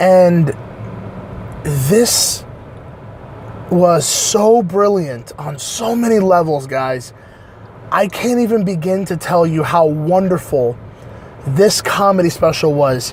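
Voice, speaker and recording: At a very slow pace, the speech comes through audible room echo and noticeable background noise. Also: man, high pitch for a man. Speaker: online reviewer. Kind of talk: casual review monologue. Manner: halting, many fillers.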